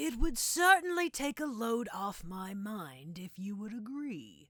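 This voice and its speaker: A put-on character voice, fairly high in pitch, at a fairly slow pace with very wide pitch swings. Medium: read story. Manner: smooth, veiled.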